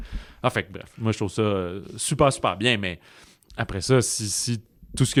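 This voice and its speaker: At a moderate tempo, a man speaks with ordinary pitch variation. Everything sounds very clean against a silent background. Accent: Quebec. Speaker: film podcast host. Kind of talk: casual film review chat.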